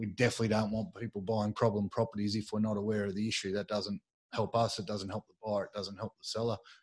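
A man speaks at a very fast pace with a fairly low pitch and monotone, flat intonation. The recording is very clean and dry, with a silent background and no echo. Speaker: real estate agent, podcast host. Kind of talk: casual chat.

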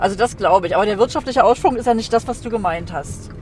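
A woman's fairly high voice at a very fast pace, with music in the background. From East Germany (former GDR). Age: 60s. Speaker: driver. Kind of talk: casual chat. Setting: in a car.

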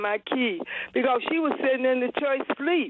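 Her Southern US accent is clear as the woman speaks. She keeps a moderate pace with ordinary pitch variation. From US South, Georgia. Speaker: caller. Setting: phone call. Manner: halting.

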